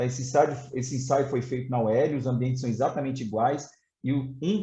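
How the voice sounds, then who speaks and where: A man's medium-pitched, dark and mellow voice, somewhat breathy, at a fairly quick pace. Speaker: fire safety expert, fire brigade colonel and instructor. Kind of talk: technical presentation in a webinar. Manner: fast; hesitant fillers (é, tá).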